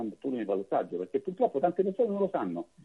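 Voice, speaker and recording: The man's pitch swings very widely as he speaks. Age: 40s. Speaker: political candidate. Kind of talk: radio interview.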